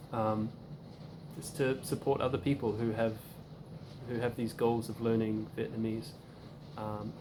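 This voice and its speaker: The speaker has a New Zealand accent, ordinary pitch variation and a moderate pace. Noticeable background noise and audible room echo fill the recording. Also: man. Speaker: language learner video creator. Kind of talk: casual tutorial. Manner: hesitant, many fillers and repetitions.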